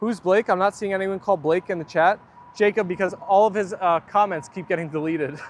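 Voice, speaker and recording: Against noticeable background noise, a man with an American accent talks fairly quickly in a high pitch with fairly even intonation, the sound dry and close with no echo. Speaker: livestreamer with pet dogs. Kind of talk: casual chat. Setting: outdoors.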